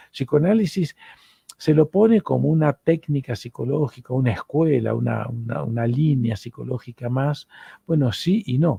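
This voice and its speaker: A man with an Argentine accent talks at a moderate pace and medium pitch, his intonation lively. The tone is dark, mellow and somewhat breathy, with a dry, close sound and no echo. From Argentina. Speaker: psychoanalyst and lecturer. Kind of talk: lecture.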